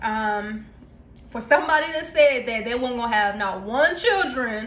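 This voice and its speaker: A voice with a Southern US accent comes through audible room echo and noticeable background noise. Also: woman. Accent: Southern twang. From North Carolina, US South. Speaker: cooking vlogger. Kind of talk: casual cooking tutorial. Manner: casual with many fillers (um, uh).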